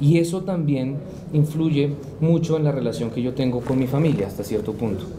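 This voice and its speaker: A man speaks at a moderate pace with ordinary pitch variation. Noticeable background noise runs underneath. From Colombia, Bogotá. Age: 20s. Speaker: historian; interviewee. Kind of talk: interview. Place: studio. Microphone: studio mic.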